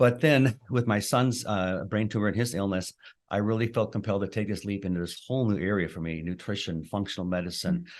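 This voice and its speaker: A man with an unremarkable speaking voice talks at a fairly quick pace, his pitch fairly low. His pitch variation is ordinary, and the background is quiet. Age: 60s. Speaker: chiropractor and clinical nutritionist. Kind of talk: podcast interview.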